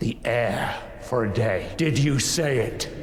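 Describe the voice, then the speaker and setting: Someone uses a put-on character voice at a fairly slow pace, with slight echo and clear background noise. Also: man, medium pitch for a man. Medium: short film. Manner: wounded, reproachful.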